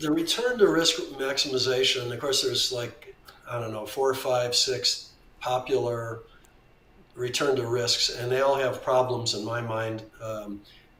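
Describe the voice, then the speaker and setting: A man's medium-pitched voice at a fairly slow pace, fairly even in intonation, with noticeable background noise and audible room echo. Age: 70s. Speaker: veteran trader. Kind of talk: interview conversation.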